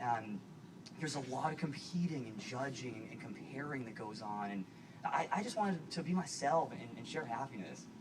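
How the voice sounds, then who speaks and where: Speaking with an American accent, a man uses lively intonation at a fairly high pitch and a moderate pace, with big swings in loudness. Audible room echo and noticeable background noise fill the recording. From US Northeast, Boston. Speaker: actor and guest speaker. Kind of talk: public speech. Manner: halting, repetitive. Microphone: poor video quality.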